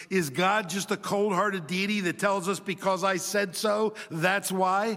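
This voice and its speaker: A man's raised, projected, high voice at a moderate pace, with fairly even intonation. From Chile. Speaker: preacher. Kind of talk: sermon.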